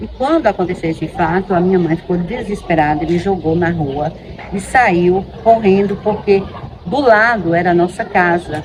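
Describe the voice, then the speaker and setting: A woman speaks fairly low in pitch at a moderate pace, with ordinary pitch variation. Noticeable background noise is audible. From Bahia, Brazil. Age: 50s. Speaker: teacher. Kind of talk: testimony.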